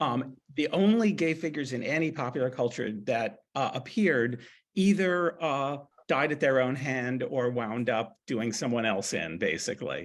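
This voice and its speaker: Recorded very cleanly against a silent background, a man with an ordinary speaking voice talks at a moderate pace and medium pitch with lively intonation. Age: 60s. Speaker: author. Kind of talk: panel discussion.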